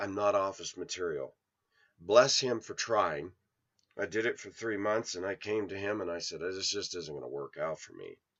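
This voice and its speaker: In a quiet background, a man with an American accent speaks at a moderate pace. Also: big swings in loudness. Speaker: video blogger. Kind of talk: monologue vlog. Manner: loud; energetic.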